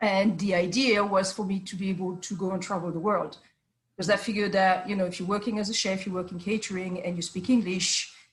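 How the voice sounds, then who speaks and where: Here a woman talks fairly quickly at a medium pitch. Her intonation is monotone and flat. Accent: French. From France. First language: French. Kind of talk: interview. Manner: hesitant, many fillers.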